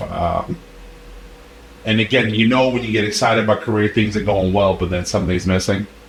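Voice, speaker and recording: A man with a fairly low pitch talks at a fairly quick pace. His intonation stays fairly even over noticeable background noise. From Siberia, Russia. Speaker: corporate leader. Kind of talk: interview answer.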